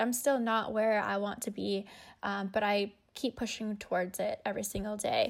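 The recording is very clean with a silent background, and the woman's pitch is fairly high. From Canada, Winnipeg, Manitoba. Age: 20s. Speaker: race car driver. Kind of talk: interview.

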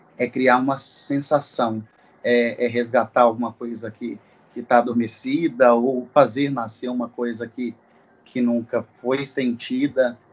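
A man is speaking. His pace is fairly slow. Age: 20s. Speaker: events business owner. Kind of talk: casual chat.

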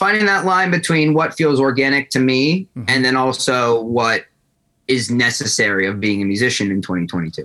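With an American accent, a man speaks at a moderate pace in a bright, sharp, medium-pitched voice that swings very widely in pitch. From New Jersey, Asbury Park. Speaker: rock musician. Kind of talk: interview. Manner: casual, hesitant with fillers.

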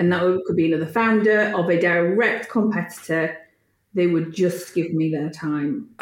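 A woman speaks in a Yorkshire accent at a moderate pace and very even loudness. Her pitch is fairly low, with ordinary variation. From Yorkshire, Leeds. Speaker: tech entrepreneur. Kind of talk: interview.

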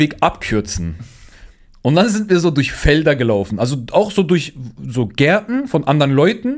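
A man at a moderate pace, fairly high in pitch, with very wide pitch swings, an animated tone and vocal fry. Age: young. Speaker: podcast host and streamer. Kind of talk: casual chat.

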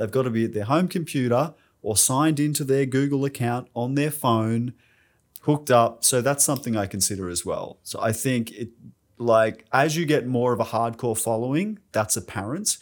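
On a very clean recording with a silent background, a man with an Australian accent speaks at a moderate pace, medium in pitch with ordinary pitch variation. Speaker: podcast host. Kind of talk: casual interview.

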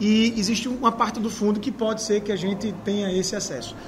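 Fairly quick speech comes through audible room echo and noticeable background noise. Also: man. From Maceió, Alagoas, Brazil. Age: 30s. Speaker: mayoral candidate. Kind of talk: interview.

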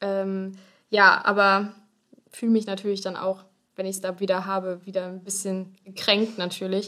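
A woman's bright, sharp tone holds to monotone, flat intonation while her loudness swings widely. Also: medium pitch for a woman, moderate pace. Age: 20s. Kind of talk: casual interview about health.

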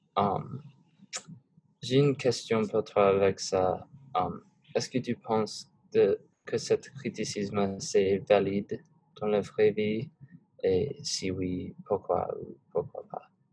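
A man with an English accent at a very slow pace, with long, frequent pauses. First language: English (speaking French). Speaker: student podcast host. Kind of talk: class podcast discussion. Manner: hesitant, many fillers.

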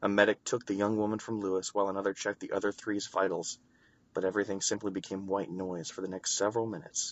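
A passage is being read aloud. The voice doing it sounds natural.

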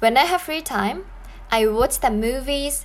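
Her intonation is lively and her pitch is high. The woman talks at a very slow pace. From Japan. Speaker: language teacher. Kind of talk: language lesson podcast.

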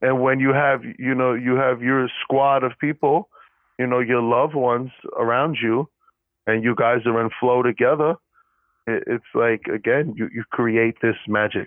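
The voice belongs to a man, a plain, everyday voice at a medium pitch. He speaks at a fairly slow pace with fairly even intonation. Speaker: podcast co-host, student. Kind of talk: casual chat, unscripted podcast.

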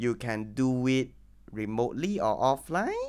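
Someone speaks at a very slow pace in a very clean recording with a silent background. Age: 20s. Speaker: podcast host and lecturer. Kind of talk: casual chat.

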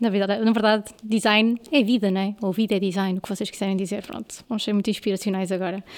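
At a very fast pace, a woman of medium pitch speaks in a monotone, flat intonation. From northern Portugal, Amarante. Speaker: podcast host. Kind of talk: casual interview chat. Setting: studio, video podcast.

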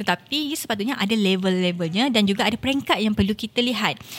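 Speaking very fast with a Malaysian accent, a woman uses a somewhat breathy, fairly high voice and lively intonation. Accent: Malaysian Malay. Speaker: politician. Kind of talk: casual interview.

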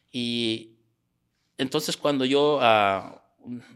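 A man's pitch varies in an ordinary way. The recording is very clean and the background silent. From Mexico, Sierra Gorda. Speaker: small business owner. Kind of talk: interview. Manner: halting.

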